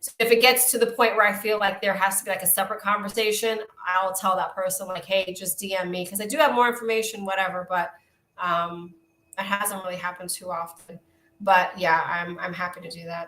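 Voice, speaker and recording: Speaking at a fairly quick pace with a Brooklyn accent, a woman keeps a medium pitch and fairly even intonation but shows big swings in loudness. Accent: thick Brooklyn, New York. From Brooklyn, New York. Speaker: psychic medium and wellness coach. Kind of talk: live-stream oracle card readings and chat. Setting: live stream. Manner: warm, chatty.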